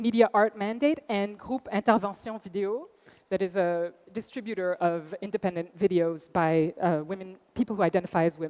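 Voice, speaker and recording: A woman's medium-pitched voice with a Quebec accent, ordinary pitch variation, and a dry, close sound with no echo. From Quebec, Montreal. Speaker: arts center director. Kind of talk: conference talk.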